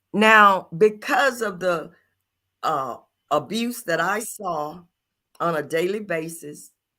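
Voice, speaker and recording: Speaking in a Louisiana accent at a very slow pace with long, frequent pauses, a woman uses lively intonation and a bright, sharp tone at medium pitch, on a very clean recording with a silent background. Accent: Southern US (Louisiana). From US South, rural Louisiana. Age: 70s. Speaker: podcast co-host. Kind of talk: personal testimony. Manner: halting.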